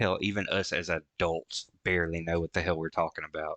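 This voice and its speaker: A man speaks at a fairly slow pace in a bright, sharp tone. The sound is dry and close, with no echo, over a quiet background. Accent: Southern US. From rural US. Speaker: VTuber reacting to music. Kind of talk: reaction commentary.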